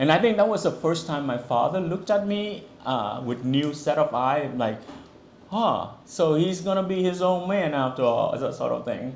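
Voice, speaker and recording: Lively intonation from a high-pitched man at a moderate pace, with audible room echo. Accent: Vietnamese. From Vietnam. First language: Vietnamese. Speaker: author. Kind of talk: book talk and reading. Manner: casual, conversational with fillers.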